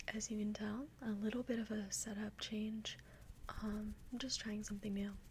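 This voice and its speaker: A soft-spoken voice moves along at a moderate pace. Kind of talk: casual talk to camera.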